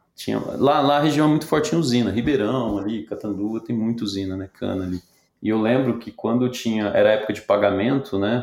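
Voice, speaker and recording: With a plain, everyday voice, a man of medium pitch talks at a fairly quick pace with ordinary pitch variation on a very clean recording with a silent background. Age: 40s. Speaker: tech company CEO. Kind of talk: interview.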